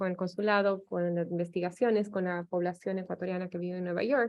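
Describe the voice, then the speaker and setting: A woman's moderately paced speech comes through with a quiet background. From Ecuador. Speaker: anthropologist, professor. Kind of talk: academic seminar talk. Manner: hesitant, many fillers.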